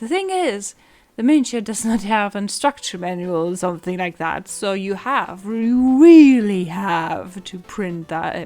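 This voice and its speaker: A woman talks with lively intonation. Her pitch sits in the medium range. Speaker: miniature painting and 3D printing hobbyist. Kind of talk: voiceover narration. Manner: excited; halting.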